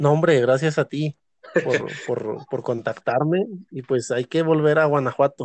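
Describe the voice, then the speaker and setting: A man at a fairly slow pace, fairly high in pitch, with ordinary pitch variation. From Mexico, Zacatecas. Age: 30s. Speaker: historian. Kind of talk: casual interview.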